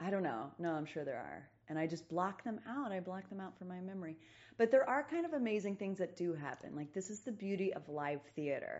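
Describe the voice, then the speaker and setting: Lively in intonation, a woman with a plain, everyday voice speaks at a medium pitch and a fairly quick pace. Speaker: stage actor. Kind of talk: casual chat.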